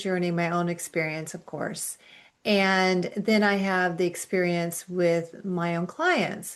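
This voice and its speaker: Over a quiet background, a woman with an unremarkable speaking voice talks at a fairly slow pace. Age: 60s. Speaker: functional medicine practitioner, dietitian. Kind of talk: interview.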